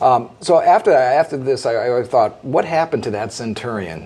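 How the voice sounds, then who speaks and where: Light background noise sits behind a man talking at a fairly quick pace. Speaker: guest. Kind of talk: interview answer. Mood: calm, thoughtful storytelling. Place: studio.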